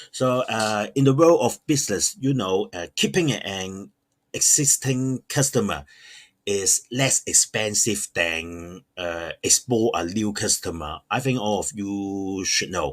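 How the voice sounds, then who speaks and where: A man with a non-native accent speaks very slowly at a fairly low pitch, his intonation lively. The sound is dry and close with no echo, and the recording is very clean, with a silent background. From Hong Kong. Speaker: online shop owner. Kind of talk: tutorial. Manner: halting, many fillers.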